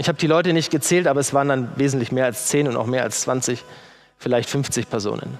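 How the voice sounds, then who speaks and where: Music plays in the background as a man of medium pitch talks at a fairly quick pace with ordinary pitch variation. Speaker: preacher. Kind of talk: sermon in a church. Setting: church with congregation. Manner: emotional, earnest, conversational; working from notes.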